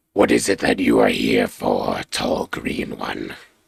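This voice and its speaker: Fairly slow, raspy speech from a man in a put-on character voice, very deep and low. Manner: put-on creature voice.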